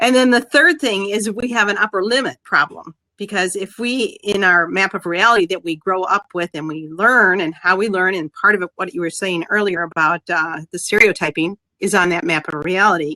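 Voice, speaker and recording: Bright and sharp in tone, a woman speaks with hardly any pauses in a dry, close sound with no echo. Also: medium pitch for a woman, ordinary pitch variation. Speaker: mindset coach. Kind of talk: interview. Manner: fast.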